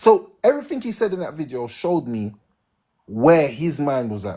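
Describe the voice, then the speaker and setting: A man with a British accent talks at a fairly quick pace, his fairly high voice making very wide pitch swings. The recording is very clean, the background silent. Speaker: live stream host. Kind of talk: heated debate. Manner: animated.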